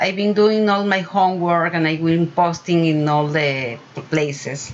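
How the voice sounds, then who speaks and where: A woman's fairly low voice at a fairly slow pace, with noticeable background noise. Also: ordinary pitch variation, very even loudness. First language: Spanish. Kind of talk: casual video talk. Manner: halting, many fillers.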